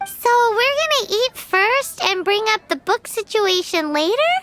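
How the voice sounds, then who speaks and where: A squeaky, put-on character voice sits at an extremely high pitch. The pace is moderate. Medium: video game. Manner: eager, bouncy.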